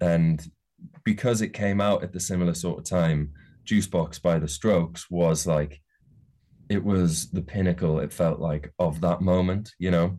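A man's very deep, low voice with a dark, mellow tone, moderate pace and fairly even intonation, in a very clean recording with a silent background. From Newcastle area, northeast England. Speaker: musician and songwriter. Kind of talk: casual interview chat. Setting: his music studio.

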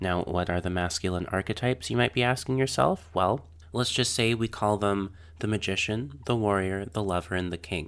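On a very clean recording with a silent background, a man speaks in a normal speaking voice at a moderate pace, with a fairly low pitch and ordinary pitch variation. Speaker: podcast host. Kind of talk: casual interview conversation. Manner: warm, gentle.

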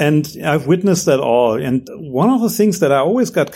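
A man with a German accent, a fairly quick pace, and very wide pitch swings. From Germany. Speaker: entrepreneur. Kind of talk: interview.

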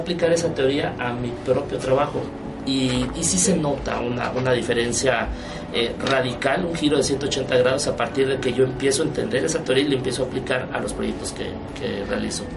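A man at a medium pitch and fairly quick pace, with ordinary pitch variation, audible room echo and noticeable background noise. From Mérida, Yucatán, Mexico. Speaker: graphic designer. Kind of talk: radio interview.

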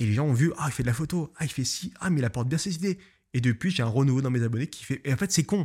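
Here a man speaks with ordinary pitch variation. The recording is very clean, and the background is silent. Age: 20s. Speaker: photographer and podcaster. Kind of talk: solo podcast monologue. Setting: home studio, filmed. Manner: casual, hesitant with fillers.

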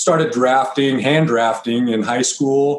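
Talking at a fairly slow pace, a man in an American accent has a normal speaking voice with ordinary pitch variation. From eastern Colorado (Byers, east of Denver). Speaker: business owner of a 3D rendering agency. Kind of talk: casual interview.

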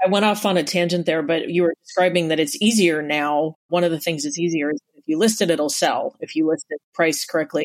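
A fairly quick delivery with hardly any pauses. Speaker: podcast co-host and real estate agent. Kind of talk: casual interview chat.

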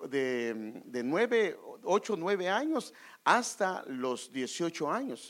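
This man's voice sits high. His pitch makes very wide swings. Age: 50s. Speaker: pastor. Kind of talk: sermon.

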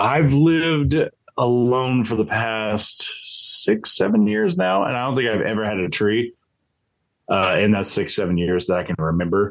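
In an ordinary speaking voice, a man with a fairly low pitch talks at a moderate pace with lively intonation. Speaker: podcast co-host. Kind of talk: casual chat.

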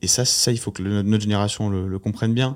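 This man has a fairly low pitch and fairly even intonation, recorded very cleanly against a silent background. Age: 20s. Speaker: startup founder. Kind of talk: casual chat.

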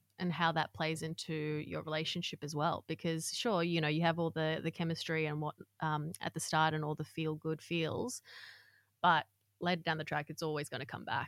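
A woman's very deep, low, monotone voice with flat intonation at a moderate pace, recorded very cleanly with a silent background and a dry, close sound with no echo. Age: 30s. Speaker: author and content creator. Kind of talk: casual chat.

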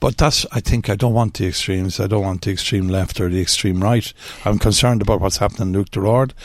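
A man's very fast speech in an Irish accent, fairly low in pitch, with fairly even intonation. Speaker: local politician. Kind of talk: radio interview.

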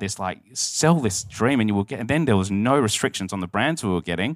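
In an Australian accent, a man speaks at a fairly quick pace with medium pitch and ordinary pitch variation. The recording is very clean, with a silent background. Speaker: wine retailer CEO and co-founder. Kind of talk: live interview on stage. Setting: stage with audience.

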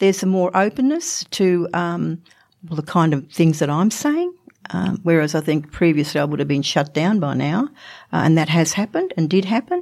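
A woman's fairly low voice with an Australian accent, ordinary pitch variation and a moderate pace, on a very clean recording with a silent background. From Australia, Northern Territory. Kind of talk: interview. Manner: halting.

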